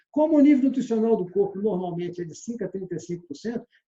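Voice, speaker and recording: A man's dark, mellow tone. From Minas Gerais, Brazil (Belo Horizonte). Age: 60s. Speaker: sales trainer. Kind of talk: lecture.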